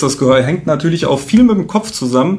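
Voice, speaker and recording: Noticeable background noise is heard throughout. A man speaks fairly quickly. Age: 30s. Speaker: health coach. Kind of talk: casual interview chat.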